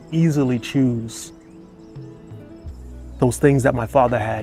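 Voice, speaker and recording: A man with an American accent at a fairly slow pace, medium-pitched, with fairly even intonation and music in the background. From Boston. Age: 50s. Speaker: retired firefighter. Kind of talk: casual talk to camera. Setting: outdoors.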